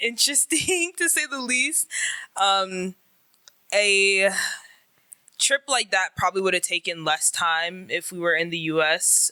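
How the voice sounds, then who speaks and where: On a very clean recording with a silent background, a bright, sharp tone carries an American accent and lively intonation. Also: woman, dry, close sound with no echo. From United States. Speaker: university student, interview guest. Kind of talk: interview. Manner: hesitant, many fillers.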